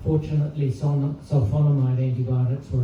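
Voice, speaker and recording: With a New Zealand accent, a man talks at a moderate pace and fairly even intonation, with audible room echo and noticeable background noise. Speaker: eulogist. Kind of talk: eulogy. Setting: memorial service with audience. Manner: soft-spoken; formal.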